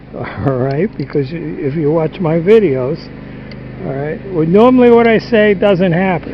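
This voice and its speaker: Amid noticeable background noise, a man with a high pitch speaks at a fairly slow pace with lively intonation and long, frequent pauses. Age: 70s. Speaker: DIY home repair vlogger, stone cutter. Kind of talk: casual how-to vlog. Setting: outdoors on a barn roof. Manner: halting, with fillers and restarts.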